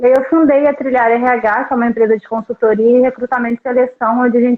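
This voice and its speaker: Very fast speech from a woman, fairly high-pitched, her intonation fairly even. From Brazil, Volta Redonda (Rio de Janeiro state). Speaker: recruitment consultant. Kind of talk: podcast interview. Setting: live stream.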